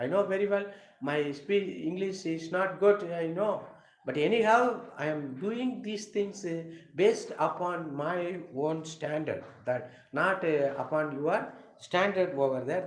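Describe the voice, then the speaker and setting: Noticeable background noise and audible room echo surround a man speaking fairly slowly in a high pitch with ordinary pitch variation. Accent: Tamil Nadu. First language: Tamil. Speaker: English teacher. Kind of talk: live lecture. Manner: halting.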